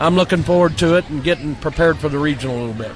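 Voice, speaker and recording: A man with a fairly high pitch and ordinary pitch variation talks over crowd noise in the background. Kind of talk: post-game coach interview. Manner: casual, plain-spoken, with filler words.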